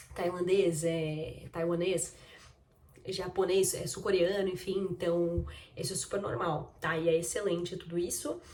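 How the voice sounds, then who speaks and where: Fairly slow and fairly low in pitch, a woman speaks with fairly even intonation amid audible room echo and noticeable background noise. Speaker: vlogger. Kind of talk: casual vlog talk.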